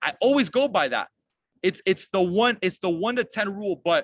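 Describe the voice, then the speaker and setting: With a high pitch, a bright, sharp tone and lively intonation, a man speaks in an energetic tone. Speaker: network marketing team leader. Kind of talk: online team training call.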